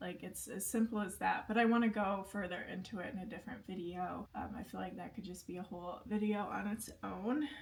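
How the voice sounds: Showing vocal fry, a woman speaks fairly quickly at a medium pitch with fairly even intonation.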